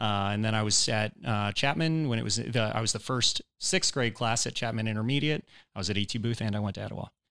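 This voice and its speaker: A man with an American accent talks at a very fast pace with hardly any pauses, his medium-pitched voice bright and sharp in tone. The recording is very clean and the background silent. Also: ordinary pitch variation. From Georgia, Woodstock area (US South). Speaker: entrepreneur and mayoral candidate, former state legislator. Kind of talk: casual interview. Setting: studio.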